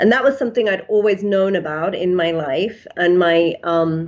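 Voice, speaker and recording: Speech arrives at a moderate pace, with an English accent. Its pitch variation is ordinary. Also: woman. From England. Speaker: psychiatrist. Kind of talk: interview. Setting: podcast.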